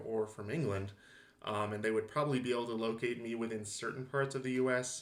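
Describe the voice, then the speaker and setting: In a room with audible echo, a man with an American accent talks fairly quickly in a fairly low voice with fairly even intonation. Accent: Southern California, somewhat blunted. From Southern California. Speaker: linguistics lecturer. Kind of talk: lecture. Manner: casual, with fillers.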